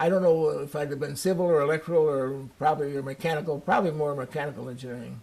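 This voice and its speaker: The delivery is very fast, with fairly even intonation. Loudness swings widely throughout. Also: man, fairly high pitch for a man. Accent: American. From Chicago, US Midwest. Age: 90s. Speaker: war veteran. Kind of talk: interview.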